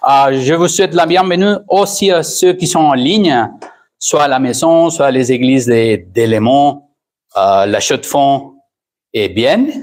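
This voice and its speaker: A man's fairly high voice with a Spanish accent, very slow pace, lively intonation and very even loudness. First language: Spanish (speaking French). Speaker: pastor. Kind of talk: sermon. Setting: church, streamed online. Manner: halting, with hesitations.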